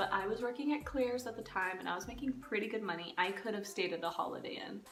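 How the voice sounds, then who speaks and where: Soft-spoken, a woman talks very fast with lively intonation. Music plays in the background, and room echo is audible. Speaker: storytime vlogger. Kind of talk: casual storytime monologue.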